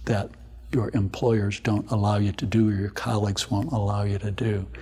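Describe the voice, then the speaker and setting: Somewhat breathy, a man with a fairly low pitch talks at a moderate pace. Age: 60s. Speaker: obstetrician and maternal fetal medicine specialist. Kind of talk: interview.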